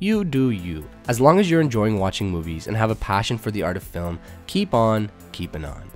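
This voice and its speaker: With music in the background, a man talks at a fairly quick pace and a fairly low pitch, moving in very wide pitch swings. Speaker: film YouTuber. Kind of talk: list video narration to camera.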